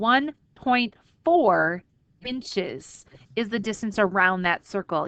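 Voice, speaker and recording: In a dry, close sound with no echo, a woman with an unremarkable speaking voice talks at a fairly slow pace with lively intonation. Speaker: math teacher. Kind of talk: tutorial.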